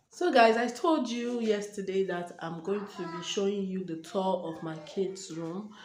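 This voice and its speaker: Fairly slow speech with hardly any pauses and ordinary pitch variation, amid noticeable background noise and audible room echo. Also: woman, medium pitch for a woman. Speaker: lifestyle vlogger. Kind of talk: casual vlog talk to camera. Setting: at home at night. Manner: hesitant, with many fillers; quiet, because the household is asleep.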